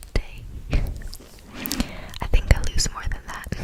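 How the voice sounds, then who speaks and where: A whisper beneath noticeable background noise. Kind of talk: ASMR whispered fun-facts reading. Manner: whispered, soft.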